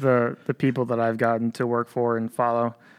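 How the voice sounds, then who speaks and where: An American-accented male voice on a very clean recording against a silent background. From upstate New York. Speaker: military public affairs specialist. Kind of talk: interview.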